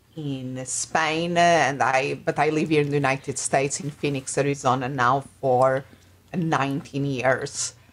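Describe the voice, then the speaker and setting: With a Portuguese accent, a woman speaks fairly slowly in a very deep, low voice with monotone, flat intonation. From Portugal. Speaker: life and business coach. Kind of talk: interview. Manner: halting.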